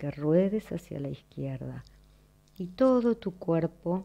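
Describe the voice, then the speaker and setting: Her voice is fairly low for a woman, with a dark, mellow tone and ordinary pitch variation. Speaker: movement lesson teacher. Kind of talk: guided exercise instruction. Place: home room.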